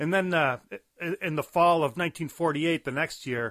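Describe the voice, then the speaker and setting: Speaking at a fairly slow pace, a man with a bright, sharp tone uses ordinary pitch variation on a very clean recording with a silent background. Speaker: comics historian. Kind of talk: lecture-style talk.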